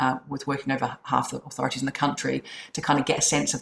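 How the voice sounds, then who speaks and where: With a New Zealand accent, a woman talks at a very fast pace in a very deep, low voice over noticeable background noise. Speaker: chief executive of a social work charity. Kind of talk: casual interview. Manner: hesitant, fillers.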